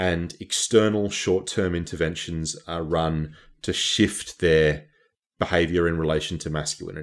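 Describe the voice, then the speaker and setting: A man with an Australian accent, very deep and low in pitch, at a moderate pace with fairly even intonation. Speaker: academic activist. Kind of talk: interview.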